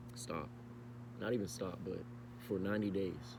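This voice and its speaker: Against noticeable background noise and audible room echo, a man speaks in an animated tone with lively intonation. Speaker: vlogger. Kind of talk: casual monologue vlog. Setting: outdoors at night, walking. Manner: animated, repetitive.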